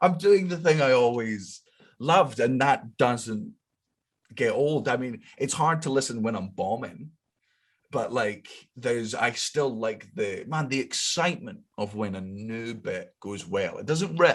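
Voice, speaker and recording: A man with a Scottish accent speaks at a fairly slow pace with very wide pitch swings, in a very clean recording with a silent background. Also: medium pitch for a man. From Scotland. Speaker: comedian. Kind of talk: casual chat.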